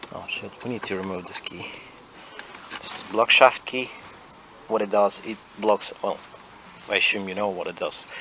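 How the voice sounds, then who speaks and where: There is noticeable background noise as a man speaks in a fairly low pitch with flat, monotone intonation, big swings in loudness, and long, frequent pauses. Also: moderate pace. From Ukraine. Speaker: car mechanic. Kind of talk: tutorial. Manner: halting.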